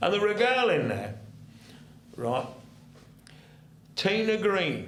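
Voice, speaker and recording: Speaking at a very slow pace in an East Midlands accent, a man is heard with audible room echo. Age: 70s. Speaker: retired ex-soldier and football fan. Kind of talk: casual chat. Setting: studio. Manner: halting.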